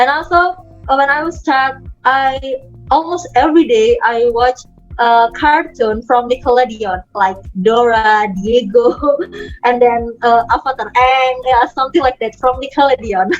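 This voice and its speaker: Ordinary pitch variation marks speech that goes at a fairly slow pace. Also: woman, high pitch for a woman. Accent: Indonesian. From Indonesia (Medan, North Sumatra). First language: Indonesian. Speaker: content creator and author. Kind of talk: interview. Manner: halting.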